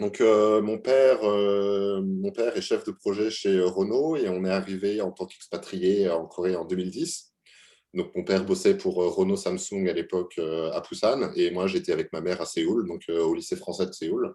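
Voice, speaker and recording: Moderate-paced speech from a man, with a quiet background. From France, Normandy (Le Havre). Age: 20s. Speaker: UX/UI designer. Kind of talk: interview. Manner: halting, many fillers.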